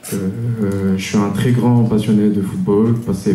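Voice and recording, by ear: A man's fairly low voice at a moderate pace, fairly even in intonation, amid strong room echo.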